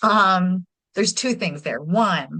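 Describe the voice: A woman speaks at a slow pace with a bright, sharp tone and ordinary pitch variation. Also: fairly low pitch for a woman.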